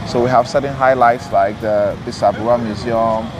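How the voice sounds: A man at medium pitch, moderate pace and fairly even intonation, with clear background noise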